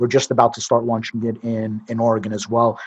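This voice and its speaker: A man's medium-pitched voice with a New York accent. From Brooklyn, New York. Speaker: cannabis entrepreneur. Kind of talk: interview.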